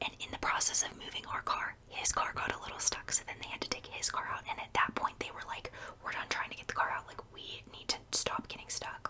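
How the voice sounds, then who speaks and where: Whispering at a fairly quick pace, a woman barely pauses, her loudness swinging widely. Noticeable background noise runs underneath. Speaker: ASMR creator. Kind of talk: whispered ASMR storytime. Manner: whispered; chatty, rambling.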